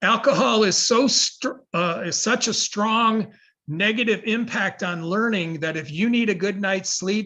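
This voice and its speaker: A man speaks at a fairly slow pace in a raised, projected voice. His tone is bright and sharp, and the background is quiet. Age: 70s. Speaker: educator and sleep researcher. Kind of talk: lecture.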